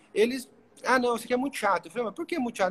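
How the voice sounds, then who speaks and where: A man's voice with very wide pitch swings. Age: 30s. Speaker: podcast host. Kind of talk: interview. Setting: hotel room, livestream.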